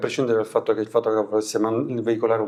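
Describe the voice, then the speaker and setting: A man speaks at a medium pitch, and the background is quiet. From Abruzzo, Italy. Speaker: photographer and filmmaker. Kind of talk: interview answer. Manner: hesitant, searching for words.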